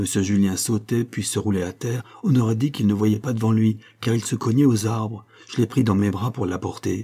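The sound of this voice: An unforced reading voice. Its intonation is fairly even.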